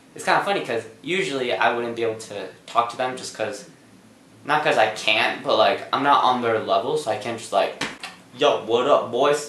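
Audible room echo surrounds the voice. A man speaks at a moderate pace. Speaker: vlogger. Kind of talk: casual vlog chat. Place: home room.

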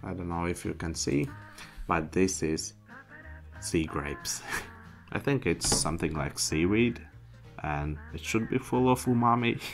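A man's very deep, low voice at a fairly slow pace, with clear music in the background. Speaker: food reviewer. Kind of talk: casual vlog chat. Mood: cheerful, playful. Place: home room. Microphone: studio mic.

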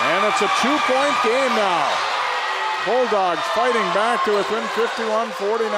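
A man's voice comes through with a dry sound and no echo, against loud background noise. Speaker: play-by-play announcer. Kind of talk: live sports commentary, play-by-play. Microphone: headset.

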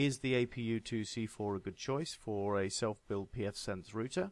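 A man with a British accent, medium pitch, ordinary pitch variation and a fairly slow pace. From UK. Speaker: tech hobbyist reviewer. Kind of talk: casual tech review talk to camera.

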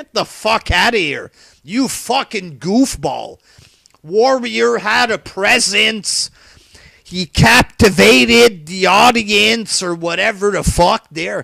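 In a raised, projected voice with a bright, sharp tone, a man speaks at a very slow pace, high-pitched and with lively intonation, the sound dry with no echo against a quiet background. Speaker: wrestling commentary vlogger. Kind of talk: profane solo rant. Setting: home webcam recording. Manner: animated, profane. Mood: angry, exasperated ranting. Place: home room.

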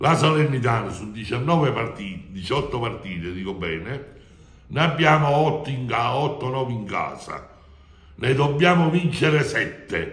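Audible room echo colors the recording. The man talks very slowly. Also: lively intonation. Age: 70s. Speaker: football fan club president. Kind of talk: interview. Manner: animated. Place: office. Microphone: phone near.

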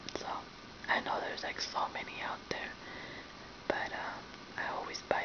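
A woman whispering at a moderate pace, with long, frequent pauses. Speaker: ASMR video host. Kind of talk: casual talk to camera. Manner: whispered, soft-spoken. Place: home room. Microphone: webcam.

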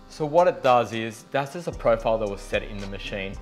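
Faint music sits in the background as a man speaks. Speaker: presenter. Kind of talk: tutorial. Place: studio.

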